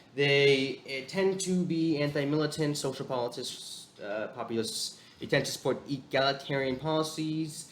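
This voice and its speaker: This man's voice is fairly high in pitch. Background noise is noticeable. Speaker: political commentary youtuber. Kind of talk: video commentary. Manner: fast; halting, many fillers.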